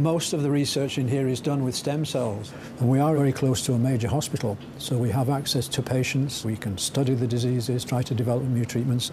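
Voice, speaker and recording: Amid audible room echo, a man at medium pitch talks at a fairly quick pace with fairly even intonation and very even loudness. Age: 60s. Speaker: scientist. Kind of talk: interview. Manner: halting.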